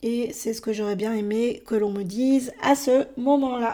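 Very slowly, a woman speaks with a dark, mellow tone at a fairly high pitch, her intonation fairly even. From France. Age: 30s. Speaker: podcaster. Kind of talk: personal monologue. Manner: hesitant, with many fillers.

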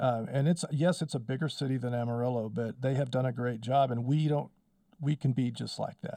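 At a fairly quick pace, a man speaks with a dark, mellow tone, medium pitch and fairly even intonation. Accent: West Texas. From Texas Panhandle (Wellington, Texas). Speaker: power company spokesman and local historian. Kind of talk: casual interview.

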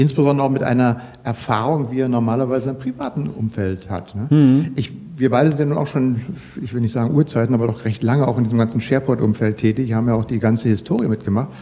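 A man speaks at a very fast pace. Background noise is noticeable. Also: medium pitch for a man, ordinary pitch variation. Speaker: podcast host. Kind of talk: casual interview.

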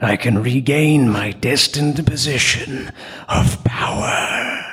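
In a cartoonish character voice, a man talks at a very slow pace with ordinary pitch variation. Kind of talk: cartoon villain acting. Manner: indignant, then scheming.

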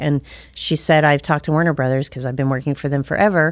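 With an American accent, a woman talks at a very deep, low pitch and with fairly even intonation, captured on a very clean recording over a silent background. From US South, northwest Georgia near Chattanooga. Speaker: travel agency owner, former actress. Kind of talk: interview.

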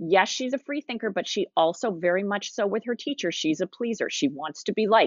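Speaking in a normal speaking voice, a woman uses a medium pitch and lively intonation, moving at a fairly quick pace with hardly any pauses. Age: 50s. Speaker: novelist. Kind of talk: casual chat.

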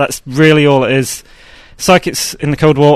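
With an English accent, a man speaks at a moderate pace in a fairly high voice, the sound dry and close with no echo. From southwest England, near Bristol. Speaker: game designer. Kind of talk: casual chat. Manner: hesitant, many fillers.

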